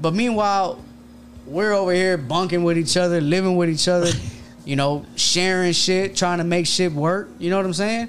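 A man's high-pitched, animated voice with an American accent, ordinary pitch variation, very even loudness and a moderate pace. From Houston, Texas. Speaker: streetwear brand owner and electrician. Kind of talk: casual chat. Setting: studio.

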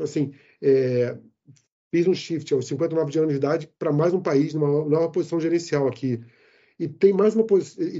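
Ordinary pitch variation shapes a man's fairly high voice. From Rio de Janeiro, Brazil. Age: 60s. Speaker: IT executive living abroad. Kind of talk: interview. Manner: animated.

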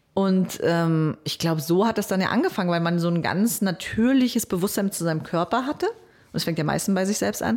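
A woman talks with hardly any pauses and very even loudness. She has an unremarkable speaking voice, medium in pitch with ordinary pitch variation. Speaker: radio program director and podcaster. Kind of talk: interview. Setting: studio.

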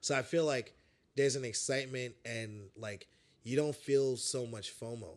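With an American accent, a man of medium pitch speaks in a plain, everyday voice with ordinary pitch variation. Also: moderate pace, very clean recording, silent background. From New York City, Brooklyn (Bed-Stuy). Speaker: metal singer. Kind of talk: casual chat.

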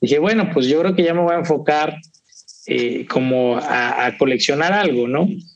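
A man speaks at a fairly high pitch, his loudness very even, with audible room echo. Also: ordinary pitch variation, moderate pace. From Veracruz, Mexico. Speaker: whisky collector. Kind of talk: casual interview.

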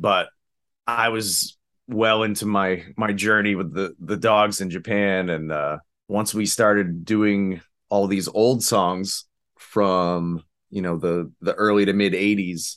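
A man's fairly low voice at a very slow pace, with fairly even intonation, over a quiet background. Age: 30s. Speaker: musician and audio engineer. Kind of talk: casual chat. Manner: halting.

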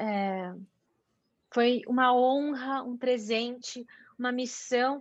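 A woman's high pitch with monotone, flat intonation. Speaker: mountain bike athlete and sports commentator. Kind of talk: interview.

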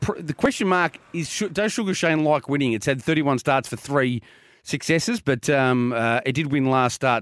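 A man's fairly high voice with an Australian accent, lively intonation and a moderate pace, dry and close with no echo on a very clean recording with a silent background. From Australia, Geelong. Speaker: racing radio co-presenter. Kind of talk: casual chat.

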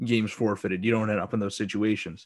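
Against a quiet background, a man with a Western Canadian accent talks at a fairly quick pace and a medium pitch. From Alberta, Canada. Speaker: sports podcast host. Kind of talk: casual chat.

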